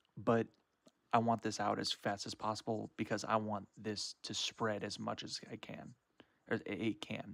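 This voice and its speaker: A man with fairly low pitch and vocal fry talks at a fairly slow pace in a monotone, flat delivery, with a dry, close sound and no echo. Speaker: card game YouTuber. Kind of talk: live stream reaction commentary. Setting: live stream. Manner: stutter.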